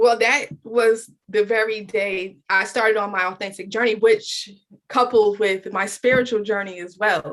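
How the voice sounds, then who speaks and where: Speaking at a fairly slow pace, a woman with a fairly high voice keeps her intonation fairly even. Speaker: podcaster and author. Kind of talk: interview.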